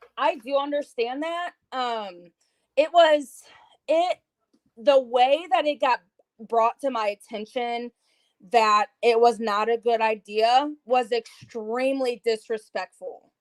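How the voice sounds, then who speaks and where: A woman talks very slowly and loudly in a high voice with ordinary pitch variation, the sound dry and close with no echo. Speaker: YouTube content creator. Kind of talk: casual chat.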